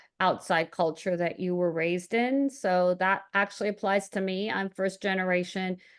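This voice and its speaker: Against a quiet background, a woman talks. Her pitch is medium and her pace moderate. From Germany (Hamburg), Iranian family, American school. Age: 50s. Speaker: financial analyst and productivity coach. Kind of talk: podcast interview. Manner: halting, repeats words.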